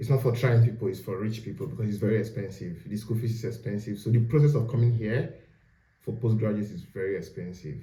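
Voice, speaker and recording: A man's somewhat breathy voice with a dark, mellow tone and medium pitch, at a very fast pace with ordinary pitch variation and audible room echo. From Nigeria. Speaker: postgraduate student. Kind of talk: casual interview.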